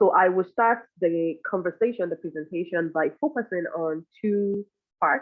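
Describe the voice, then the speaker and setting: A woman with a non-native accent, medium pitch, ordinary pitch variation, and a moderate pace. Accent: foreign. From Nigeria. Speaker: professor. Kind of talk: conference presentation.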